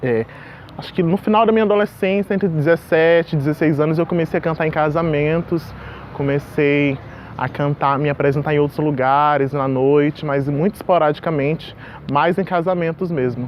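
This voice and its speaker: A man speaks at a fairly high pitch. Noticeable background noise runs behind him. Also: ordinary pitch variation, moderate pace. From Porto Velho, Rondônia, Brazil. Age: 20s. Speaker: singer, actor and voice teacher. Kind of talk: interview monologue.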